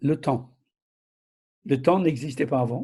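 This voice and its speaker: A man with a fairly high voice for a man, ordinary pitch movement, a somewhat breathy quality and a dark, mellow tone. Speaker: preacher. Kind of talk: sermon.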